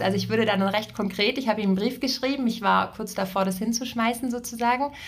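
A woman with an ordinary speaking voice talks at a fairly quick pace, her medium pitch held in fairly even intonation. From southern Germany, Ravensburg area. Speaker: succession and career coach. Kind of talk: casual interview. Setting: in-person studio visit.

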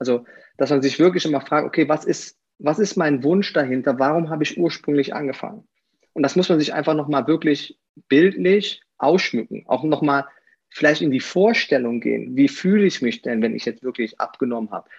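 At a fairly quick pace, a man with a slight Rhineland accent talks in a fairly high pitch with ordinary pitch variation. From Aachen, Rhineland, Germany. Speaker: former pro athlete and fitness coach. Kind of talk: podcast interview.

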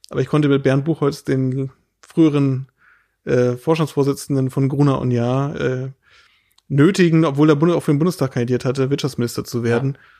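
Delivery comes at a fairly quick pace. A dark, mellow tone carries fairly even intonation. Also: man, fairly high pitch for a man, quiet background. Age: 30s. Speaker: state politician. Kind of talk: casual interview. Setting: host's living room.

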